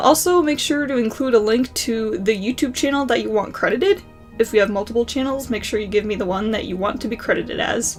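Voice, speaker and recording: Over music in the background, a woman with fairly high pitch and ordinary pitch variation talks at a very fast pace with hardly any pauses. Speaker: student animator; college student. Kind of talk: casual talk to camera.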